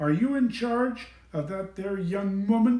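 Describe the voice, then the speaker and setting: Using a put-on character voice with a high pitch, a man speaks at a fairly slow pace. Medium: read story. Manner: stern, officious.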